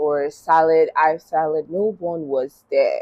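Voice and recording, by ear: A woman speaks low for a woman, with a slightly mellow tone and ordinary pitch variation.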